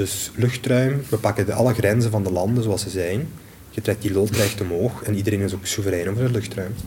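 A man with a Limburg accent speaks with fairly low pitch and fairly even intonation. His voice is somewhat breathy, with a dark, mellow tone. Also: fairly quick pace. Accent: Limburg Flemish. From Belgium, Limburg. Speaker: space law researcher and lecturer. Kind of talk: interview.

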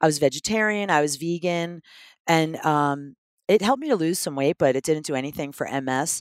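This woman's voice is very deep and low, with an American accent. She talks at a fairly quick pace broken by long, frequent pauses, and the sound is dry and close with no echo. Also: ordinary pitch variation, very clean recording, silent background. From US Northeast, Philadelphia. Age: 50s. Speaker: health advocate with multiple sclerosis. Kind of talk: casual interview. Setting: in a van.

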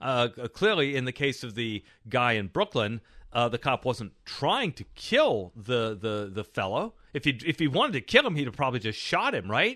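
A man with a plain, everyday voice at medium pitch speaks at a moderate pace with lively intonation, the sound dry and close with no echo and the background quiet. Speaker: economist. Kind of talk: casual chat. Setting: studio.

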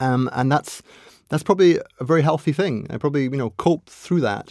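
In a very clean recording with a silent background, a man speaks at a very fast pace and a fairly high pitch, with ordinary pitch variation. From Scotland. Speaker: philosopher and chess grandmaster. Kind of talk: casual interview chat.

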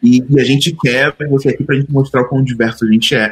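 This man speaks in a Rio de Janeiro accent. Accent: carioca. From Rio de Janeiro periphery, Duque de Caxias. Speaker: designer. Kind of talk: casual chat.

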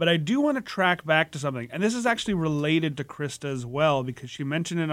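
A man uses an ordinary speaking voice, fairly high in pitch, with lively intonation. The recording is very clean and the background silent. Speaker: podcast co-host. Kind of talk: casual interview chat. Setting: studio.

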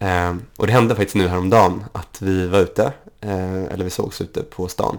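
A man speaks in a normal speaking voice, fairly low in pitch, at a moderate pace. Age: 20s. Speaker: podcast guest with type 1 diabetes. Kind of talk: casual chat.

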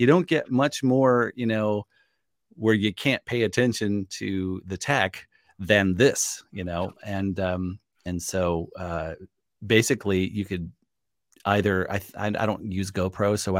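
The sound is dry and close, without any echo. The background is silent on this very clean recording. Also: man. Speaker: audio professional and course creator. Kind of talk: casual interview conversation. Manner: laughs often, relaxed and conversational.

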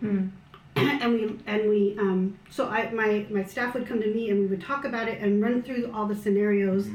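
Amid noticeable background noise and audible room echo, a woman with an American accent speaks fairly quickly at a fairly high pitch. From US, Filipino American. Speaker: missiology doctoral student. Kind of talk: casual chat over a meal. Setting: at her home around a meal.

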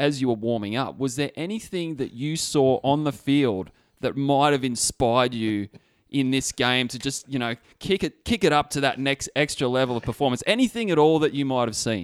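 In a very clean recording with a silent background and a dry, close sound with no echo, a man with a plain, everyday voice speaks at a medium pitch and a moderate pace. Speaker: podcast host. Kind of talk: casual chat. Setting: studio.

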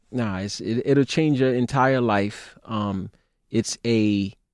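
Speaking in a New York accent, a man with a medium-pitched voice talks at a fairly slow pace with ordinary pitch variation, his sound dry and close with no echo against a quiet background. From Brooklyn, New York. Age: 40s. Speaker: lawyer. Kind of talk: casual interview.

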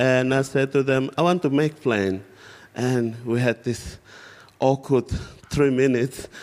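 Amid noticeable background noise, a man with a medium pitch speaks at a fairly slow pace with long, frequent pauses and very even loudness. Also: fairly even intonation. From West Papua highlands. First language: West Papuan local language. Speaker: aerospace engineer, former refugee. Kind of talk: church interview testimony. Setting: church stage with congregation.

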